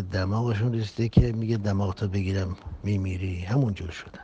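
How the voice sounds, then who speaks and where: A man's fairly low, dark, mellow voice, somewhat breathy, with fairly even intonation. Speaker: religious preacher. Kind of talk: public address on social issues.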